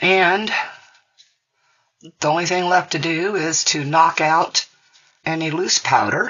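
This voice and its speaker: Long, frequent pauses interrupt delivery that is very slow. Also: woman, fairly low pitch for a woman, ordinary pitch variation. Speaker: resin crafter. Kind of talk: tutorial. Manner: casual.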